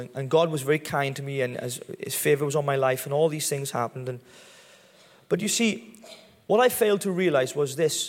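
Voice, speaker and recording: A man speaks at a fairly quick pace with a strong Welsh accent. His voice sits fairly high in pitch. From Wales. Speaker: pastor. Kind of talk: testimony. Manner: halting.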